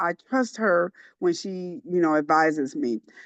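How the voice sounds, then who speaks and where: A woman with a normal speaking voice talks at a fairly slow pace and a fairly low pitch, with lively intonation. The sound is dry and close with no echo, over a quiet background. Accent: American. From Indiana, US Midwest. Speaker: church secretary. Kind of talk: testimony. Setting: online group call.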